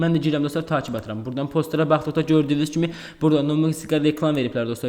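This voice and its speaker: A man with a fairly high pitch, a very fast pace and monotone, flat intonation, over noticeable background noise. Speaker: crypto YouTuber. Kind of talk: screen-share tutorial. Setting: at home.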